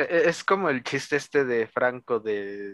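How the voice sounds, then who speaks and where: The speaker has a Mexican accent. The sound is dry and close, with no echo. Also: man. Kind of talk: casual chat.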